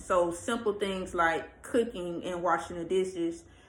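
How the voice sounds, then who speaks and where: A woman's medium-pitched voice is heard with audible room echo around it. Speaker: vlogger, pregnant single mom. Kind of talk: casual vlog rant. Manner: casual, hesitant with fillers.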